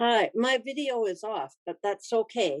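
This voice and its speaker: A woman at a fairly high pitch and fairly slow pace, very wide pitch swings, dry, close sound with no echo. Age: 80s+. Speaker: retired nurse. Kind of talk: panel discussion. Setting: video call. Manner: halting.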